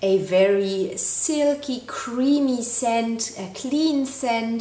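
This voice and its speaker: A woman's voice with audible room echo. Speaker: beauty vlogger. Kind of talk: casual product review chat. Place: home room. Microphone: camera far.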